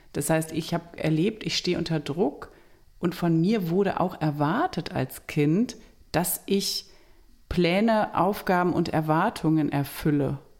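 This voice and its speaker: Recorded very cleanly against a silent background, a woman with an unremarkable speaking voice talks at a fairly slow pace in a fairly low pitch, with ordinary pitch variation and very even loudness. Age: 40s. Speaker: family counselor and podcast co-host. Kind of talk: casual chat.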